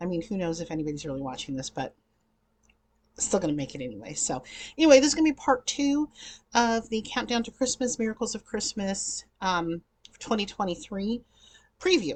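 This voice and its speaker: At a fairly quick pace yet with long, frequent pauses, a woman speaks in a somewhat breathy voice of medium pitch, with very wide pitch swings and big swings in loudness over a quiet background. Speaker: YouTube vlogger reviewing TV movies. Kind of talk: casual vlog chat. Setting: home recording in front of green screen. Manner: chatty, filler-heavy.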